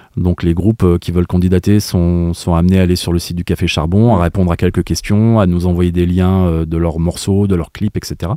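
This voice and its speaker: Very deep and low, a man's dark, mellow voice holds a monotone, flat intonation at a moderate pace with hardly any pauses, recorded very cleanly against a silent background. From France, Saint-Étienne. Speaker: music venue artist development manager. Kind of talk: radio interview. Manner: halting.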